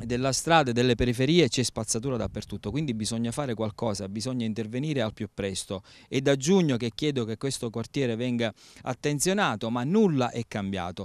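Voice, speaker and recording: This man speaks at a fairly quick pace with ordinary pitch variation. The sound is dry, with no echo. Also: quiet background. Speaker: local politician or spokesman. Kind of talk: interview answer. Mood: indignant, urgent complaint. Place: open country. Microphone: handheld.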